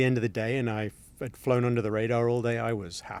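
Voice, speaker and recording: The pace here is fairly quick. The speaker is a man. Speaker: engineering firm president. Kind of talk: interview. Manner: hesitant, many fillers and repeats.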